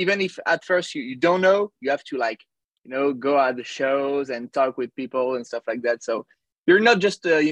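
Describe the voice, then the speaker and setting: Recorded dry and close with no echo, a man with a French accent talks fairly quickly at a fairly high pitch, with ordinary pitch variation. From France, near Paris. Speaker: musician. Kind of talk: interview. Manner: halting.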